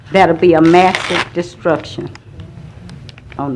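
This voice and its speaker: A woman talks at a fairly slow pace in a Louisiana accent. Her pitch is fairly low, and there is noticeable background noise. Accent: US Southern (Louisiana). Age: 70s. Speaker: resident speaking at public comment. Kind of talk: public comment testimony. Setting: city council meeting.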